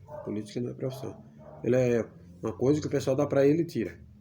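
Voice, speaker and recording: This man's voice sits at a medium pitch. Lively intonation runs through his speech. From Brazilian Northeast (Pernambuco interior). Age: 50s. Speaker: YouTuber. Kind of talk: casual vlog monologue.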